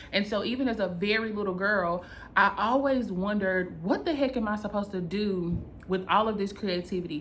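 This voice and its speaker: With a North Carolina accent, a woman talks at a fairly quick pace in an animated tone, medium in pitch with ordinary pitch variation, amid audible room echo. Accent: Southern US (North Carolina), country. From North Carolina, US South. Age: 30s. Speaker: content creator and business coach. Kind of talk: personal vlog storytelling.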